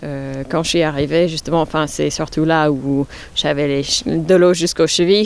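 A woman with a very deep, low pitch talks at a fairly slow pace, her intonation fairly even. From New York, US. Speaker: head gardener. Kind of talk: interview. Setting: outdoors. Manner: halting.

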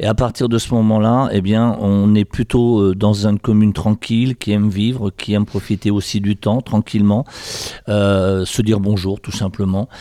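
A man speaks at a moderate pace with fairly even intonation and a fairly low pitch. His tone is dark and mellow, and the sound is dry and close with no echo. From France, Sarthe. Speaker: mayor. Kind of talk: interview. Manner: halting.

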